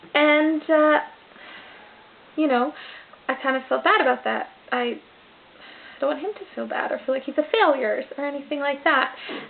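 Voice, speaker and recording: Loud and high-pitched, a woman talks at a moderate pace with ordinary pitch variation. She leaves long, frequent pauses. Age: 20s. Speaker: vlogger. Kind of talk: casual vlog monologue. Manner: trying to speak louder.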